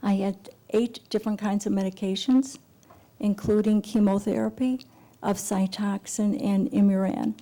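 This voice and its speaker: A woman speaks at a medium pitch with a dark, mellow, somewhat breathy tone. Her loudness stays very even, her intonation fairly even, and her pace moderate. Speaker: patient giving public testimony. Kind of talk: testimony. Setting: public hearing before a committee.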